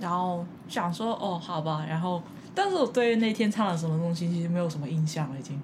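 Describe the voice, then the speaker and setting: A woman speaks at a fairly quick pace with ordinary pitch variation, over noticeable background noise and audible room echo. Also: fairly low pitch for a woman. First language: Cantonese (speaking Chinese). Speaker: podcast host. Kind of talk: casual chat.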